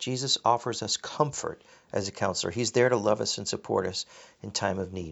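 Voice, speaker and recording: There is vocal fry in the voice. The pace is fairly quick. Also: man. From grew up abroad in a developing country (missionary family). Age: middle-aged. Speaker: pastor. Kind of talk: sermon. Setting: recorded at home, rustling papers. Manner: halting, with frequent repetitions.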